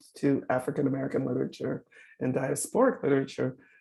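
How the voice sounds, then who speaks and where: This woman's voice sits very deep and low, with vocal fry. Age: 70s. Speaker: professor. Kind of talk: lecture.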